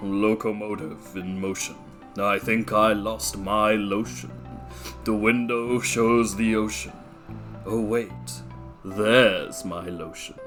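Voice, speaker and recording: A woman speaks in a put-on character voice, pitched very deep and low. She talks at a fairly slow pace over clear background music. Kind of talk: video game character voice.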